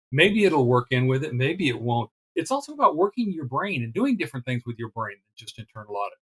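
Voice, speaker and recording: The speaker goes at a very fast pace with very wide pitch swings and big swings in loudness, the sound dry and close with no echo. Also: man, medium pitch for a man. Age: 60s. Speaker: retired internal auditor and blogger. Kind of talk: interview. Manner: casual.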